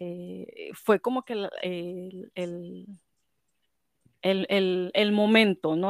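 In a Mexican accent, a woman speaks at medium pitch with fairly even intonation. The sound is dry and close with no echo, on a very clean recording with a silent background. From Mexico. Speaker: scrapbooking shop owner and event organizer. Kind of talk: casual chat.

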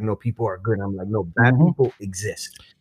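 A man with a New York accent talks at a very fast pace, his voice somewhat breathy with ordinary pitch variation. The sound is dry and close, with no echo. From Brooklyn, New York. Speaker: Marine veteran. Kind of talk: casual interview chat. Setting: studio in a cafe.

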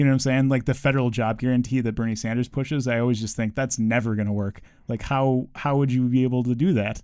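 This very clean recording has a silent background. A man talks very fast at a medium pitch with fairly even intonation. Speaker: teacher, government worker. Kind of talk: casual chat.

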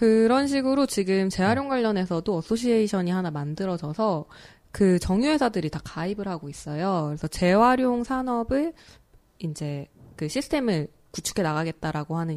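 At medium pitch and a fairly quick pace, a woman's voice makes very wide pitch swings in a very clean recording with a silent background. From Seoul. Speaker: environmental campaigner. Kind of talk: casual chat. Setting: studio.

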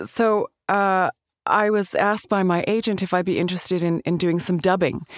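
A woman with a Canadian accent and an unremarkable speaking voice, medium in pitch, with fairly even intonation and very even loudness, in a dry, close sound with no echo and a very clean recording with a silent background. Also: moderate pace. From Alberta, Canada. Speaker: actress and voice actor. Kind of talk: casual interview.

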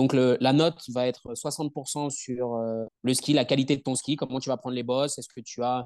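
Against a quiet background, a man speaks at a medium pitch and moderate pace. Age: 30s. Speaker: strength and conditioning coach. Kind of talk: interview. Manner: talkative.

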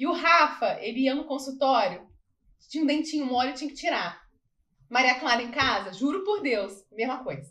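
This woman talks at a moderate pace in a bright, sharp tone. Her pitch is high. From Barra Mansa, Rio de Janeiro state, Brazil. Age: 30s. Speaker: dentist. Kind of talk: casual interview.

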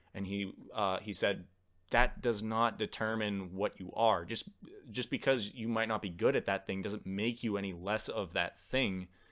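Fairly low-pitched male speech, a plain, everyday voice, at a moderate pace with fairly even intonation, on a very clean recording with a silent background. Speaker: podcast host and audio engineer. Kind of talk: casual chat.

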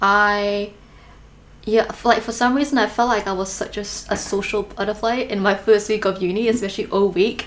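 Her delivery is monotone and flat, at a moderate pace. This woman's voice sits at a medium pitch. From Malaysia. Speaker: podcast host. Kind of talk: casual interview chat.

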